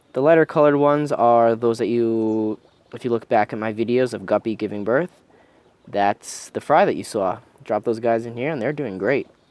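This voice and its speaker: Using an ordinary speaking voice, a man speaks at a medium pitch and moderate pace with ordinary pitch variation. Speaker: fish-keeping youtuber. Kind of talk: casual video update. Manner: relaxed.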